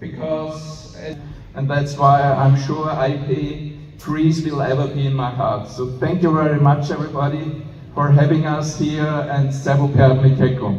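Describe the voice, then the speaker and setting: A very slow, monotone, flat man's voice at a fairly high pitch, with audible room echo and noticeable background noise. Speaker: president of international police association. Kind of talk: conference speech. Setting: stage with audience. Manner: halting.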